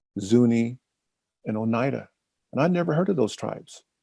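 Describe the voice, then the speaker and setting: Here a man has a dark, mellow tone. His pace is moderate. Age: 70s. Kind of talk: panel discussion. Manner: halting, repetitive.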